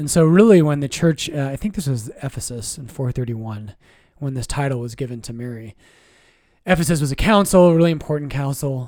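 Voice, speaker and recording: A man talks fairly quickly with lively intonation in a fairly high-pitched voice. His tone is dark and mellow, and the recording is very clean with a silent background. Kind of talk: casual chat. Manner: soft-spoken.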